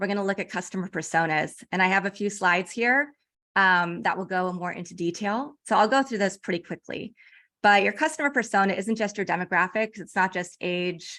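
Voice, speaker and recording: The voice moves at a fairly quick pace with a bright, sharp tone and ordinary pitch variation. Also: woman. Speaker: branding and PR consultant. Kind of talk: webinar presentation. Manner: fast.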